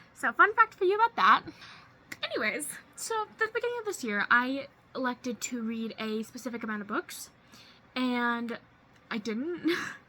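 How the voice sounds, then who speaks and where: Over noticeable background noise, a woman speaks in a high voice with lively intonation. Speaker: booktuber. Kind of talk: casual vlog. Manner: fast.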